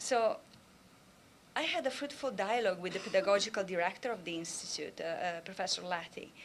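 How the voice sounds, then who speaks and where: Speaking fairly quickly with a strong Italian accent, a woman of medium pitch uses lively intonation amid audible room echo. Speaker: professor. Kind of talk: conference talk.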